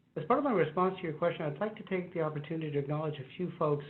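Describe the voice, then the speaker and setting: A man with a fairly high pitch speaks at a very fast pace. Audible room echo surrounds his voice. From US, Chicano (Mexican-American). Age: 50s. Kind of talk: panel discussion. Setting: video call from his office.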